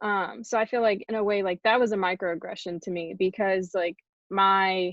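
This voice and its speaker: At a moderate pace, a woman speaks in an ordinary speaking voice with fairly even intonation. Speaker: college athlete. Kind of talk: panel discussion.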